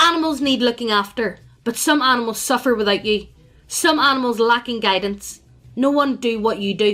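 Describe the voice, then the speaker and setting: A booming, gravelly put-on character voice delivered at a moderate pace. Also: woman, fairly high pitch for a woman. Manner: commanding.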